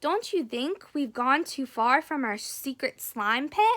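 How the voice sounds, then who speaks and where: At a fairly slow pace, a woman performs a put-on character voice with a high pitch. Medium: read story. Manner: cautious.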